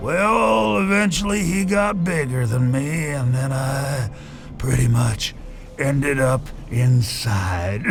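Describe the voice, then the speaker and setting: A put-on character voice at a fairly slow pace, over loud background noise. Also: man, medium pitch for a man. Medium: machinima. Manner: rambling, chuckling.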